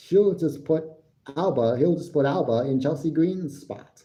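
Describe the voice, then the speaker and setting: Audible room echo surrounds a man with an American accent and a dark, mellow tone, who speaks at a fairly slow pace with ordinary pitch variation. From United States. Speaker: wrestling podcaster and live streamer. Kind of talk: live stream commentary and review. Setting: live stream.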